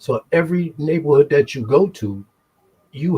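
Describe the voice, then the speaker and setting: A man with a New York accent speaks at a fairly high pitch in a dark, mellow tone that is somewhat breathy. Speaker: formerly incarcerated guest. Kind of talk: casual chat.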